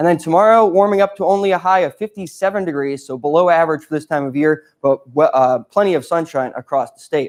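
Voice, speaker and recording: Over a quiet background, a man with an American accent speaks in an ordinary speaking voice at a fairly high pitch and fairly quick pace, with ordinary pitch variation. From Connecticut. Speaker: student meteorologist. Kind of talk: weather forecast.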